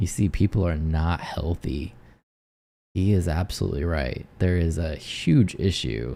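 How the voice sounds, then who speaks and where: Speaking at a fairly slow pace, a man has a very deep, low pitch and a dark, mellow tone. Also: ordinary pitch variation. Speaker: live stream commentator; military veteran. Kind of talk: live reaction commentary. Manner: casual, conversational.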